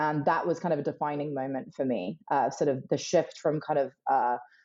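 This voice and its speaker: Speaking with a British accent, a woman talks at a fairly quick pace. Her pitch is very deep and low, and her intonation stays fairly even. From UK. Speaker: emerging technology strategist. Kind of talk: podcast interview.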